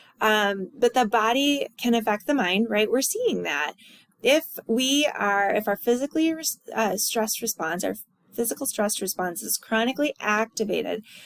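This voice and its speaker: A woman with a plain, everyday voice, fairly high in pitch, lively in intonation, at a moderate pace, in a dry, close sound with no echo. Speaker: college instructor. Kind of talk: recorded lecture review.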